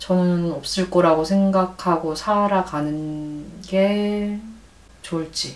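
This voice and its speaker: Over noticeable background noise, a woman speaks at medium pitch with fairly even intonation. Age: 40s. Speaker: bookshop owner and author. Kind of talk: casual chat.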